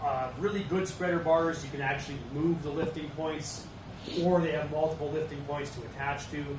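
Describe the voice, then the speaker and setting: Audible room echo and noticeable background noise surround a man speaking at a fairly high pitch. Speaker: safety trainer. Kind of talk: casual chat; training course lecture. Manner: monotone.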